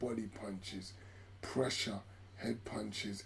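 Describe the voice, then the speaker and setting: Noticeable noise sits in the background. Through it, a man is talking. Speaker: boxing commentator. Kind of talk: live sports commentary, watch-along. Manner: excited, animated.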